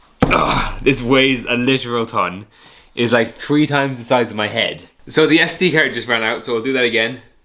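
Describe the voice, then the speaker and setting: At a moderate pace, a man talks with pitch that varies in an ordinary way. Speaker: vlogger. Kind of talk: casual vlog chat. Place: kitchen. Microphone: camera far.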